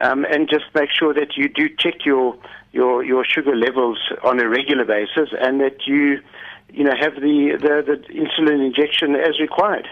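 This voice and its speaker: With an ordinary speaking voice, this man keeps a moderate pace at a fairly high pitch. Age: 60s. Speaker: diabetes patient and climber. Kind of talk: radio interview. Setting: phone call.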